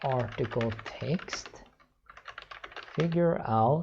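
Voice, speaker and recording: A man with a Swedish accent speaks at a very slow pace, his intonation lively. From Sweden. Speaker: software developer. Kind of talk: screencast tutorial. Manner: halting, many fillers.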